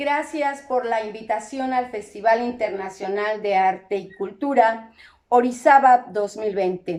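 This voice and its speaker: Speaking at a fairly slow pace, a woman with a fairly high pitch and a dark, mellow tone shows ordinary pitch variation. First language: Zapotec (Sierra Juárez) (speaking Spanish). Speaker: musician. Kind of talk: stage introduction.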